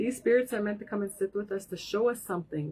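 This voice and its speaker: At a very fast pace, a woman talks at a medium pitch with ordinary pitch variation. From Saskatchewan, Canada. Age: 40s. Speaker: spiritual card reader. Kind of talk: live-stream tarot reading.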